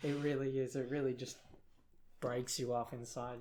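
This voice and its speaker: A man at medium pitch with monotone, flat intonation and audible room echo. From South Africa. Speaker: podcast co-host, university student. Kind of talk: casual chat.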